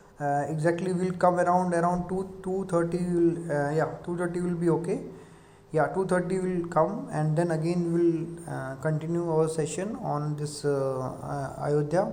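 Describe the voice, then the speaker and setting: Against noticeable background noise, someone with an Indian accent talks at a moderate pace. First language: Hindi. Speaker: lecturer. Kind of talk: lecture. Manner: halting.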